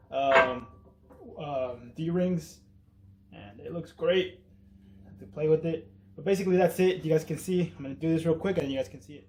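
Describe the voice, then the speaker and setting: Over noticeable background noise, a man with a fairly high pitch talks at a moderate pace, with ordinary pitch variation, big swings in loudness, and long, frequent pauses. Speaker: car enthusiast vlogger. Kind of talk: tutorial. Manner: casual; halting.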